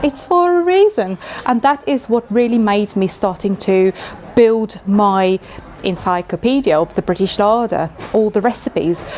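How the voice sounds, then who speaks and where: Over noticeable background noise, a woman talks at a moderate pace with a fairly high pitch and lively intonation. Her loudness stays very even. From South Africa. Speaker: chef and cookbook author. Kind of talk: interview. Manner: hesitant fillers.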